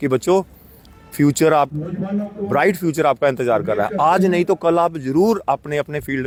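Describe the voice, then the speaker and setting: Music plays behind a man whose pitch sits fairly high. His intonation is lively, and the sound is dry and close with no echo. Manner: encouraging, motivational.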